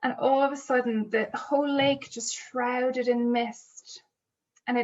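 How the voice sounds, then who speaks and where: Her pitch is high and her intonation fairly even. The woman speaks at a fairly slow pace. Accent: Irish. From Ireland. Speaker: storyteller. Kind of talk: storytelling for children. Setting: home kitchen.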